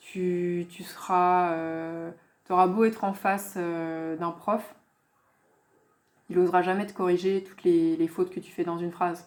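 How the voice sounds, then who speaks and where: Long, frequent pauses break up a woman's fairly slow, monotone, flat delivery in a fairly low pitch. Her loudness swings a lot, and the recording is very clean with a silent background. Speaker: language teacher / youtuber. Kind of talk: casual tutorial / app review. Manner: hesitant, many filler sounds (euh).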